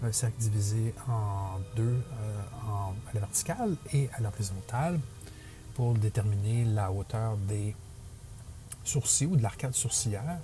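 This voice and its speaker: Over music in the background, a man with a Quebec accent speaks in a medium pitch at a very slow pace with long, frequent pauses. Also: ordinary pitch variation. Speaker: digital portrait artist. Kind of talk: drawing tutorial voice-over. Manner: hesitant, many fillers.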